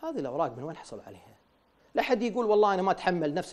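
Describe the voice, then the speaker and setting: A man with a Kuwaiti accent speaks at a high pitch with lively intonation against a quiet background. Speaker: former member of parliament. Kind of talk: TV interview. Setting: studio. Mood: critical, questioning. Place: studio. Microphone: lapel.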